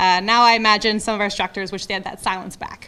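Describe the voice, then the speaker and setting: A woman's bright, sharp, fairly high voice with a strong Ontario accent and ordinary pitch variation. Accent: heavy Ontario. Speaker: firefighter trainee graduate. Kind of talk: graduation speech. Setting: lecture theatre with audience.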